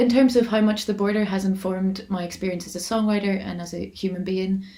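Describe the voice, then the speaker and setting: Amid noticeable background noise, a woman with a Northern Irish accent races along at a very fast pace, her medium-pitched voice monotone and flat. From Armagh-Monaghan border, Northern Ireland. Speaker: folk singer-songwriter. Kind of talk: interview answer. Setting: online video call.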